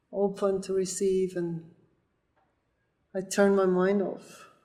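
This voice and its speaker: At a very slow pace, a woman speaks in a medium pitch with monotone, flat intonation. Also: long, frequent pauses. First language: not English. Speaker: volleyball player and coach. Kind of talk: testimonial interview.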